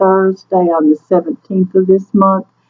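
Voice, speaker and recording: A woman talks in a Southern US accent, her pitch sitting in the middle range. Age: 60s. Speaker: weight loss surgery vlogger. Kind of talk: casual talk to camera.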